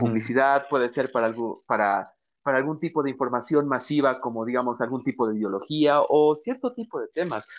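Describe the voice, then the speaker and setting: A man speaks in an ordinary speaking voice at a medium pitch and a fairly quick pace. The background is quiet. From Bolivia. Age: 20s. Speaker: podcast host. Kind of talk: interview conversation.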